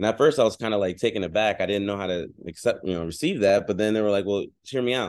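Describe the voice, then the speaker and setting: Against a quiet background, a man with an American accent talks very fast in a fairly low pitch that varies in an ordinary way. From Philadelphia, Pennsylvania. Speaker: real estate investor and speaker. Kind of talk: interview.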